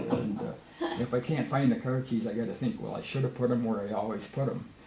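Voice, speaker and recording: A man talks at a very fast pace in a medium pitch with ordinary pitch variation. Noticeable background noise runs underneath. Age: 70s. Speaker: senior discussion group member. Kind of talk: casual group discussion.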